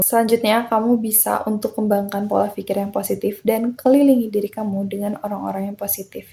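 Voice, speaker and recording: A woman talks at a very fast pace with hardly any pauses, her medium pitch delivered in a monotone, flat intonation. Her tone is dark and mellow, and somewhat breathy. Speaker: self-improvement podcaster. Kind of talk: motivational podcast talk. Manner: casual, encouraging.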